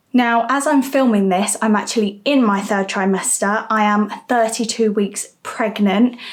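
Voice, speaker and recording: This woman has a British accent and a fairly high pitch, with fairly even intonation and very even loudness. She speaks at a fairly slow pace with hardly any pauses. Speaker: vlogger. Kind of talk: vlog monologue.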